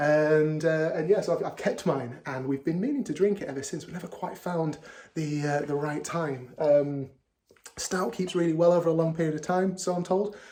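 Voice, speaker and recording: A man with a Yorkshire accent, fairly high in pitch, at a moderate pace with ordinary pitch variation. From Yorkshire, northern England. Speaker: beer vlogger. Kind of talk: casual video monologue. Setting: at home. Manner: hesitant, many fillers and repeats.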